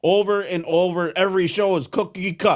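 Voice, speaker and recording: In a Wisconsin accent, a man speaks at a high pitch. The recording is very clean, with a silent background. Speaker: radio host. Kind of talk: casual monologue. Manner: not crisp, filler-heavy.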